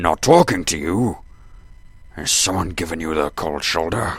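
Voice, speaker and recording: A man puts on a character voice. It is very deep and low, delivered at a moderate pace. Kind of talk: audio drama dialogue. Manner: pompous.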